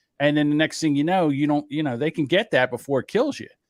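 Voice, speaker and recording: In a very clean recording with a silent background and a dry, close sound with no echo, a man speaks with an unremarkable speaking voice at a fairly high pitch. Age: 60s. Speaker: podcast co-host. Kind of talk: casual chat.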